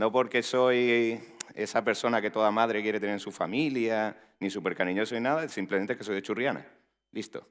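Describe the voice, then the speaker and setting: Speaking fairly quickly with an Andalusian accent, a man keeps a medium pitch and fairly even intonation. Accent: Andalusian (Málaga). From Spain, Málaga (Andalusia). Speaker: tech executive, conference speaker. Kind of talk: conference talk. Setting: stage with audience. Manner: casual, joking.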